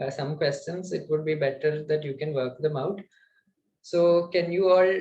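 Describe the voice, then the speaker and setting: At a moderate pace, a man speaks in a fairly high pitch with fairly even intonation. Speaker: student lecturer on data structures; instructor. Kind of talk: online lecture. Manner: hesitant, many fillers. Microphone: webcam.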